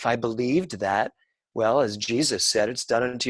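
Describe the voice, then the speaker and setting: A fairly quick man's voice, an unremarkable speaking voice, medium pitch, ordinary pitch variation. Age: 60s. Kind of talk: conversation on spirituality and science.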